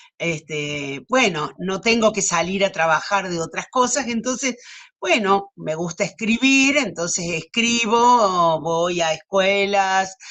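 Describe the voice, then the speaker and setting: A woman with a Cordoban Argentine accent, medium in pitch, with lively intonation at a very slow pace. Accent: Argentine Spanish, Córdoba. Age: 70s. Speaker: writer. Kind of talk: interview. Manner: hesitant.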